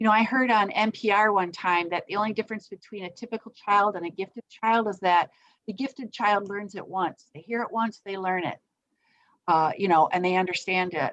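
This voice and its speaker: At a fairly quick pace, a woman speaks at a medium pitch with ordinary pitch variation. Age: 60s. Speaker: parenting educator. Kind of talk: online parenting workshop talk. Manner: halting, many fillers.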